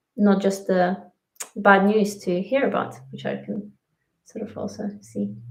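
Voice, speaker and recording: A woman with a Russian accent talks at a fairly slow pace, with long, frequent pauses. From Latvia, Russian-speaking family. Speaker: YouTube travel vlogger. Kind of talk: livestream chat. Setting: livestream.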